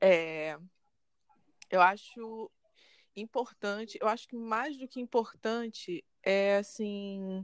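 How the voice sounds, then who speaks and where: Recorded dry and close with no echo, a woman with a fairly high voice talks very slowly, with ordinary pitch variation, big swings in loudness, and long, frequent pauses. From Brazil, Rio de Janeiro. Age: 20s. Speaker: journalism student. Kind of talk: casual chat.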